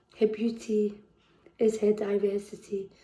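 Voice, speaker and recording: In a Liverpool accent, a woman talks at a fairly high pitch with a dark, mellow tone and flat, monotone intonation. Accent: Scouse. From Liverpool, England. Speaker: poet. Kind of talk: poetry performance. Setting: virtual performance. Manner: halting between poems.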